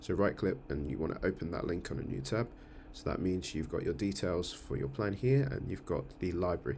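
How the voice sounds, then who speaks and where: A man speaks fairly quickly in a very deep, low voice with vocal fry, lively intonation and a dark, mellow tone. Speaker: church music team coordinator. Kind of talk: screen-share tutorial. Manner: fast; hesitant, many fillers.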